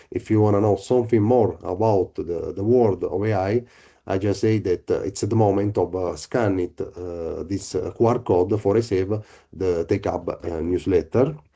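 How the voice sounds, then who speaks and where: With an Italian accent, a man speaks at a moderate pace in a fairly low pitch, his tone dark and mellow and his intonation fairly even, against a quiet background. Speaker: researcher. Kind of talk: presentation. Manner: halting.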